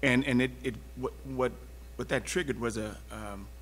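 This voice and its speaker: With an American accent and vocal fry, a man speaks in a room with audible echo. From Texas (Houston). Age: 70s. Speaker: panelist on civil rights and diversity. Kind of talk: panel discussion. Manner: halting, many fillers and restarts.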